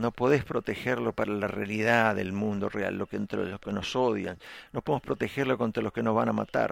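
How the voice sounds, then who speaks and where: A man talks at a fairly quick pace with vocal fry, recorded dry and close with no echo. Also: fairly low pitch for a man, ordinary pitch variation. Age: 50s. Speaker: pastor. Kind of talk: sermon.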